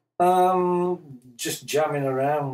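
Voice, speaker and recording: A man with an English accent. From Yorkshire, England. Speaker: musician. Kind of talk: interview. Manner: halting.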